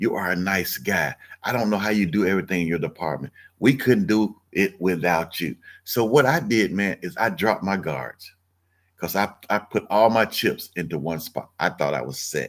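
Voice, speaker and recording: A man at a fairly low pitch with vocal fry, an animated tone and lively intonation at a moderate pace, on a very clean recording with a silent background. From US South, Mississippi. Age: 60s. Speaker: online business coach. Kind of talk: livestream sales pitch. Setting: live stream. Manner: animated, conversational.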